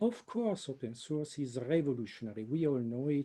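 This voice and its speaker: A man with an Italian accent, a dark, mellow tone, ordinary pitch variation and a moderate pace. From Italy. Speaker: computer science professor. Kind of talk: webinar presentation.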